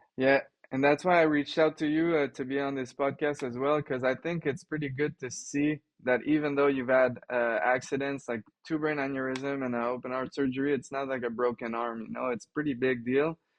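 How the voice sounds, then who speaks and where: This man speaks in a normal speaking voice at a fairly quick pace. His pitch is fairly high, and his intonation is fairly even. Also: big swings in loudness. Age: 30s. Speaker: cyclist and bikepacker. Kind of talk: casual interview.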